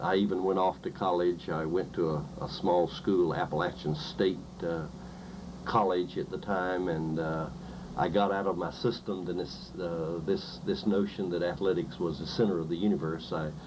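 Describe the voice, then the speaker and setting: The speech moves at a moderate pace with fairly even intonation and audible room echo. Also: man, very deep, low pitch for a man. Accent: North Carolina. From eastern North Carolina. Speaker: professor. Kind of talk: interview. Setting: recorded interview. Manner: halting, many fillers and repetitions.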